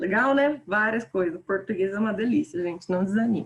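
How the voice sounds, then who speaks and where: Her voice has a somewhat breathy quality. The woman talks at a fairly quick pace. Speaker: teacher. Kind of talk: online lecture. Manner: animated.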